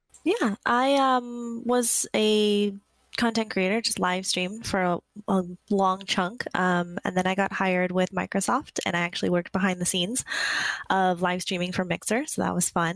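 A woman speaks in a plain, everyday voice at a medium pitch with ordinary pitch variation. Her loudness is very even, and the sound is dry and close with no echo. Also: moderate pace. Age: 30s. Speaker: podcast co-host, social media coordinator. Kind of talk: casual chat.

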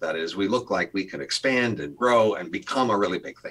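With lively intonation, a normal speaking voice keeps a moderate pace. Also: man. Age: 60s. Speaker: economics professor. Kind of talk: interview.

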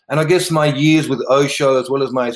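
An Australian accent marks this man's speech. He talks at a medium pitch. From South Australia, River Murray region. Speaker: meditation and sound healing teacher. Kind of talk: interview conversation.

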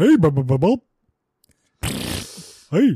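A man's put-on character voice, high in pitch, dry and close with no echo.

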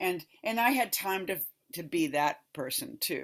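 A woman's low-pitched voice with vocal fry and a slightly husky edge, ordinary pitch variation, and a moderate pace.

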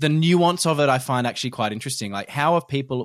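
A man with an unremarkable speaking voice talks at a fairly quick pace in a fairly high pitch with ordinary pitch variation. The recording is very clean, with a silent background. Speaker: podcast host. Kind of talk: casual chat. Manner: chatty, laughs often.

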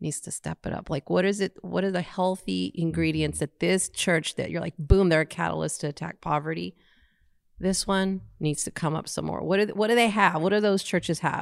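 A woman with a normal speaking voice and a fairly low pitch talks at a moderate pace, the sound dry and close with no echo in a very clean recording with a silent background. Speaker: podcast co-host.

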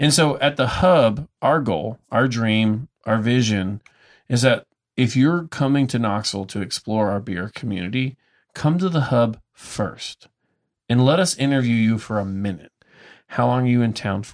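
Lively in intonation, a man with an unremarkable speaking voice talks at a medium pitch and moderate pace. The sound is dry and close with no echo, on a very clean recording with a silent background. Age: 30s. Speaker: brewery tour business owner and radio host. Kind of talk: casual chat.

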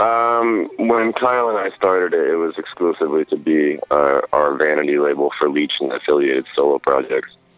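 With an American accent, a man talks at a moderate pace with hardly any pauses, a very deep, low pitch and lively intonation, over noticeable background noise. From US Pacific Northwest (Oregon, Idaho). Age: 30s. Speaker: metal musician and record label owner. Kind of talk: interview. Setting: phone call.

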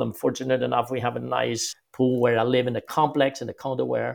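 A man speaks at a moderate pace with a French-Canadian accent. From Quebec, Canada. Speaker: golf instructor. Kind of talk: interview conversation.

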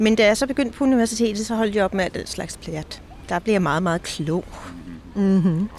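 A woman's medium-pitched, unremarkable speaking voice, moderately paced and with ordinary pitch variation. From Denmark, near Kalundborg. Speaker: knitwear designer and author. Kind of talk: casual interview. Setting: outdoors in a park.

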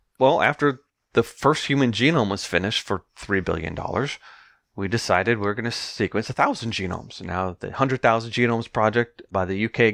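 The recording is very clean, with a silent background and a dry, close sound with no echo. It is a normal speaking voice, moving at a fairly quick pace with ordinary pitch variation. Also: man. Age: 50s. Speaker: geneticist and marine biologist. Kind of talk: interview. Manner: fast, run-on explanations.

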